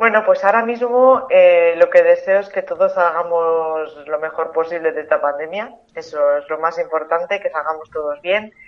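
A woman with an unremarkable speaking voice, fairly low in pitch, at a moderate pace with ordinary pitch variation. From Tudela, Navarre, Spain. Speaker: author. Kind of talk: interview.

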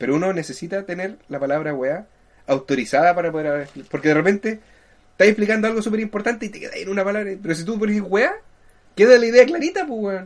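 A man speaks very fast with a Chilean accent in a high pitch. His intonation is lively, and his loudness swings widely. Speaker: podcast co-host. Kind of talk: casual chat.

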